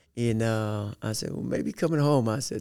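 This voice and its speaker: A man's voice, fairly low in pitch, carries a dark, mellow tone. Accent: Southern US. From Arkansas, small town near Little Rock. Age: 50s. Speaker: football coach. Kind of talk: interview.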